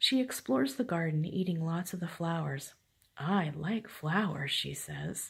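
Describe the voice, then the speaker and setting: Quiet and fairly slow, a woman speaks at a fairly low pitch with vocal fry and lively intonation. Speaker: grandmother reading stories to grandchild. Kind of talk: reading aloud.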